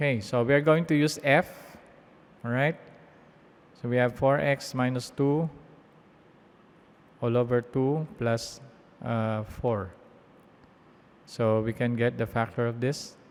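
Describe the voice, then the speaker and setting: At a fairly slow pace, a man with a medium pitch and ordinary pitch variation speaks with long, frequent pauses. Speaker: math teacher. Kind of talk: tutorial.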